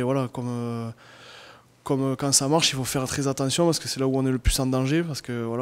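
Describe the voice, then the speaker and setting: Speaking at a fairly quick pace, a man with a medium-pitched voice keeps a monotone, flat intonation. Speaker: rugby player. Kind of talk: post-match interview. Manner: halting. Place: meeting room. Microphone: handheld.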